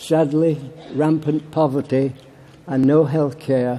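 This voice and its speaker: Over noticeable background noise, a man with a Yorkshire accent speaks with fairly even intonation. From Barnsley, Yorkshire, England. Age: 80s+. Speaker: war veteran. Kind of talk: political conference speech.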